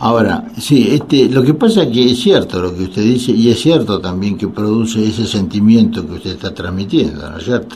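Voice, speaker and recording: A man with a Rioplatense accent, speaking at a fairly quick pace with hardly any pauses, uses lively intonation at a medium pitch. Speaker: radio host and psychiatrist. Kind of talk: radio call-in talk. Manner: halting, many fillers.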